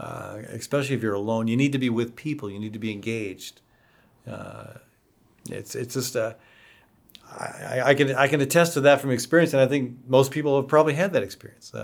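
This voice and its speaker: At a fairly quick pace, a man talks at a medium pitch with ordinary pitch variation and big swings in loudness. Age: 60s. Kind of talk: interview. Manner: halting, repeats words.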